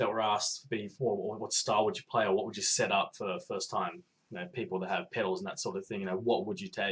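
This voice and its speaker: Very fast and with hardly any pauses, a man talks with an Australian accent. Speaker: podcast listener giving video response. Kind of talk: casual video monologue. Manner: hesitant, many fillers.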